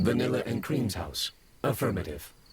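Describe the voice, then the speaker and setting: A man puts on a robotic character voice and holds a moderate pace. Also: very deep, low pitch for a man. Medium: audio drama. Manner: terse, robotic phrasing like "Affirmative" and "Analyzing request"; flat, emotionless delivery.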